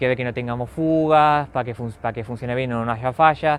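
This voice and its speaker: A man speaks at a fairly quick pace with medium pitch. His intonation stays fairly even. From Argentina, Buenos Aires area. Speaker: railway club volunteer. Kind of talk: interview. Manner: halting.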